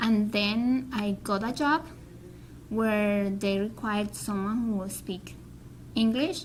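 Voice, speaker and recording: Speaking with a Spanish accent, a woman uses a fairly high pitch and ordinary pitch variation. Her pace is fairly slow and her voice somewhat breathy. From Colombia. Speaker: Spanish teacher and graduate student. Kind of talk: interview. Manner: halting.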